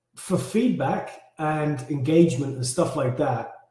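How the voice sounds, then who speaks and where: Somewhat breathy male voice in a dark, mellow tone, with audible room echo. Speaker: fitness challenge coach. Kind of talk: live stream briefing. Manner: casual, halting.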